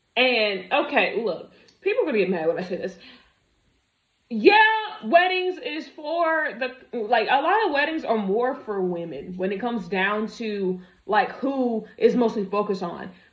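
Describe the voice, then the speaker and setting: At a fairly slow pace, a woman speaks in an animated tone with a fairly high pitch and very wide pitch swings. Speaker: commentary video creator. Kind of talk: reaction commentary.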